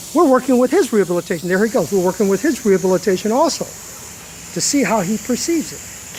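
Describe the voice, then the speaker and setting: A man speaks at a fairly quick pace in a high pitch. Noticeable background noise runs underneath. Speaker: dog trainer. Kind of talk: live commentary explaining dog behavior. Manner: soft-spoken.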